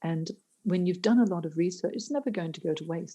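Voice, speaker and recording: A woman's voice sits fairly low, with a dark, mellow tone. It comes across as somewhat breathy. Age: 60s. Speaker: careers coach. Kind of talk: podcast interview.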